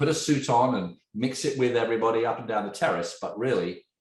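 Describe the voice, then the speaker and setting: A man talks with lively intonation, his voice carrying audible room echo. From England. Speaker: tech entrepreneur. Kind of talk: podcast interview. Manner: animated.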